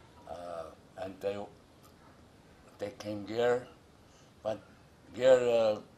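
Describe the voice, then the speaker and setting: Over noticeable background noise, a man with a fairly low pitch speaks at a very slow pace with fairly even intonation and long, frequent pauses. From Micronesia, Yap outer islands. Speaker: cultural leader, storyteller. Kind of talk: traditional legend told in interview. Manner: hesitant, many fillers.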